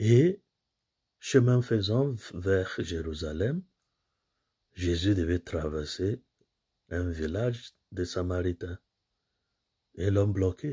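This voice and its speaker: A man speaks at a very slow pace with long, frequent pauses, his pitch very deep and low and his tone dark and mellow. The voice is somewhat breathy, with ordinary pitch variation over a quiet background. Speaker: priest giving homily. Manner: earnest, didactic, steady pace, explains scripture readings point by point; formal, pastoral, addresses listeners directly as brothers and sisters. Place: home room. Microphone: phone near.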